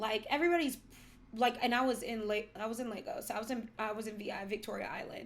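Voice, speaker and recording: Talking at a fairly quick pace with an American accent, a woman has an unremarkable speaking voice, fairly high in pitch with ordinary pitch variation. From United States. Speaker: podcast co-host. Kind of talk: casual chat.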